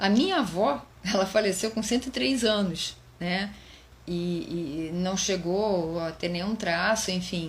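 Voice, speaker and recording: Audible room echo surrounds a woman whose somewhat breathy voice sits at medium pitch, moving with ordinary pitch variation at a very slow pace. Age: 50s. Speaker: psychologist and educator. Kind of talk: live stream talk. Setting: Instagram live stream. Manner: halting, many fillers.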